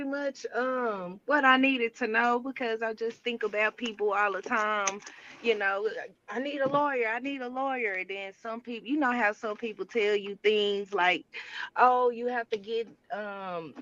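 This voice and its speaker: Speaking at a moderate pace, a woman with an ordinary speaking voice uses a fairly high pitch and ordinary pitch variation. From Dallas, Texas. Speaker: caller. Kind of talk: call-in question.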